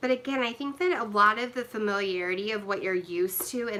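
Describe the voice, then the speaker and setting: At a moderate pace, a woman talks with lively intonation in a plain, everyday voice. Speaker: live stream host answering viewer questions. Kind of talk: casual live stream Q&A. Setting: live online stream.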